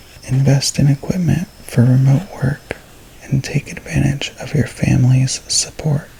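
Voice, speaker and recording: The voice is soft-spoken and moves at a fairly slow pace. Noticeable background noise runs underneath. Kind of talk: reading aloud from a horoscope book.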